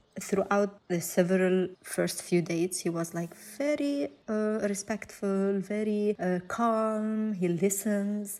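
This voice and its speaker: With a non-native accent, a woman of medium pitch and a dark, mellow tone talks at a very slow pace with hardly any pauses. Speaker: domestic violence survivor. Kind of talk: personal testimony interview answer.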